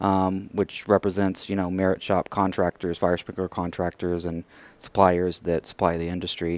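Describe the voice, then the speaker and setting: In an American accent, a man with a very deep, low voice talks at a fairly quick pace in a monotone, flat intonation, the sound dry and close with no echo on a very clean recording with a silent background. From West Texas, rural area near Abilene. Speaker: professional association executive. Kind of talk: interview.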